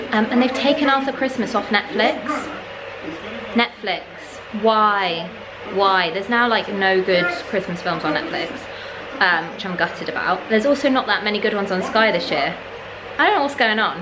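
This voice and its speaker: A woman at a moderate pace, with long, frequent pauses and noticeable background noise. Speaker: vlogger. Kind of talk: casual vlog chat. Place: home room. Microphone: phone near.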